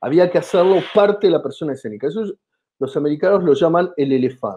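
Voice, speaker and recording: In an Argentine accent, a high-pitched man talks at a very fast pace with lively intonation. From Argentina. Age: 50s. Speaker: comedian and comedy writer. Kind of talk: interview. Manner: animated.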